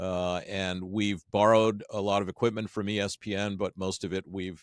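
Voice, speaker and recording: A man with a fairly low pitch talks at a moderate pace. The sound is dry and close with no echo, on a very clean recording with a silent background. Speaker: podcast studio co-founder. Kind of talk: interview conversation. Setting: office podcast studio. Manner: loud; animated.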